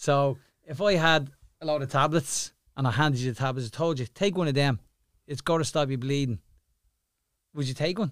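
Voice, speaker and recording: A fairly high-pitched man with an Irish accent, fairly quick yet with long, frequent pauses, ordinary pitch variation, on a very clean recording with a silent background. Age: 50s. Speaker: boxing cut man. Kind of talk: casual interview. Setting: studio.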